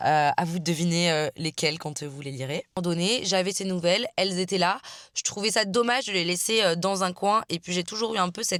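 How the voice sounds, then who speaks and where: A woman talks at a fairly quick pace with a fairly low pitch and ordinary pitch variation, in a very clean recording with a silent background. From France, Marseille. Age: 20s. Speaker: author and vlogger. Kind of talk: casual vlog chat. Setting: in a car. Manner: casual, hesitant with many fillers.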